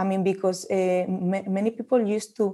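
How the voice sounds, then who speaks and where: With a Spanish accent, a woman talks at medium pitch in a dark, mellow tone and a monotone, flat intonation. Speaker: olive oil marketing manager. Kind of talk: interview. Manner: halting.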